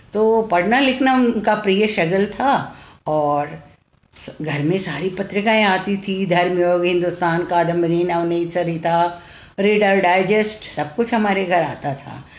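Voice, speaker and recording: A woman talks at a medium pitch with ordinary pitch variation. Room echo is audible in the recording. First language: Tamil (speaking Hindi). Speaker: retired teacher and children's author, translator. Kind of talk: live-streamed talk. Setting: Facebook live stream. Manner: halting, with many fillers.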